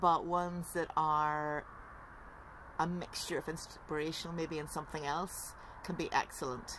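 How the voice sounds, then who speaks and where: A woman speaks at a moderate pace with a fairly low pitch. Her intonation stays monotone and flat. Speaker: writer and tutor. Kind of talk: casual talk to camera. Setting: outdoors. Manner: raised voice, emphatic.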